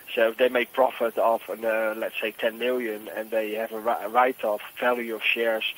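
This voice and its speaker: Speaking at a moderate pace, a man holds a medium pitch in a monotone, flat delivery. Noticeable background noise is present. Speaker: boiler room share scammer. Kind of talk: sales phone call.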